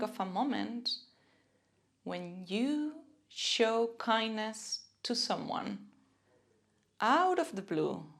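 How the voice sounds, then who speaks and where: At a very slow pace, a woman with a Spanish accent speaks in a gentle, warm tone and a fairly high pitch. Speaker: self-compassion and mindfulness teacher. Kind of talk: guided self-compassion practice.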